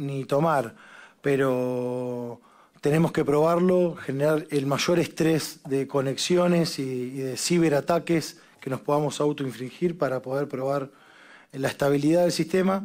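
The setting is quiet. A man speaks fairly slowly, his pitch varying in an ordinary way. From Argentina. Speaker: parliamentary secretary general. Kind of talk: committee hearing briefing. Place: meeting room. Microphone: podium.

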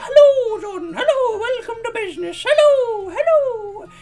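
A put-on character voice, squeaky and extremely high in pitch, delivers its lines at a moderate pace. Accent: Irish. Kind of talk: overly welcoming. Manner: camp, flamboyant greeting.

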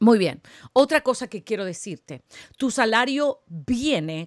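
A woman speaks at a very slow pace with a fairly high pitch and lively intonation. The background is quiet, and the sound is dry with no echo. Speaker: prophetic preacher and spiritual coach; prophetic preacher, spiritual coach. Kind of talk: sermon. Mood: fervent, encouraging. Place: home room. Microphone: studio mic.

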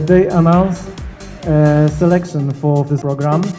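A man at a moderate pace, with music clearly audible in the background. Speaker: guest. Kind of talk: lecture. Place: cafe. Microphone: handheld.

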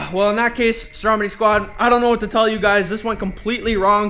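A man speaks very fast in a raised, projected voice over faint background music. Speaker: vlogger. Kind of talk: casual vlog chat. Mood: flustered, apologetic. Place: home room. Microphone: phone near.

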